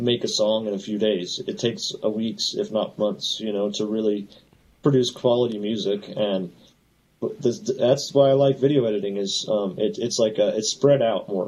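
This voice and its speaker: Intonation stays fairly level as the words come at a moderate pace. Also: man. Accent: American. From Southern California (LA area). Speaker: FPV drone pilot and electrician. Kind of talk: casual interview chat.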